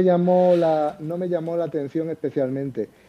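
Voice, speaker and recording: Talking at a fairly slow pace, a man with an Andalusian accent has a fairly high pitch and ordinary pitch variation. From Andalusia, Seville. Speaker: crypto enthusiast. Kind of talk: casual chat.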